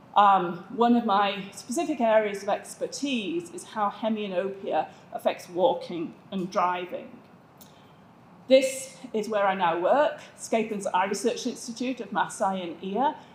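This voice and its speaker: A woman in a northern English accent, medium in pitch, fairly slow and lively in intonation. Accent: English (northern England). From England, south of Manchester. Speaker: vision researcher, optometrist. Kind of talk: conference presentation.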